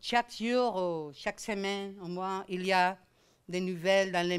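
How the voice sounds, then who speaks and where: A woman's medium-pitched voice with a Spanish accent, at a very slow pace, on a very clean recording with a silent background. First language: Spanish or Catalan (speaking French). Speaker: law professor. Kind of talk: lecture. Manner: hesitant, many fillers.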